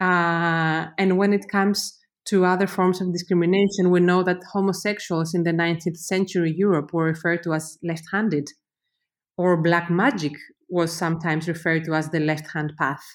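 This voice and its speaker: Very even loudness at a moderate pace, on a very clean recording with a silent background. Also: woman, fairly low pitch for a woman. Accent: Greek. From Greece. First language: Greek. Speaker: university professor, researcher. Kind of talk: interview, explanatory. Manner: hesitant, many fillers.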